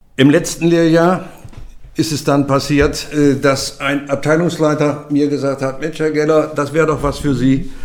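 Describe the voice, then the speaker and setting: Through audible room echo, a man speaks in a fairly high pitch. His delivery is fairly slow, with monotone, flat intonation. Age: 70s. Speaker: retired freight forwarder. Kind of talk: oral history testimony.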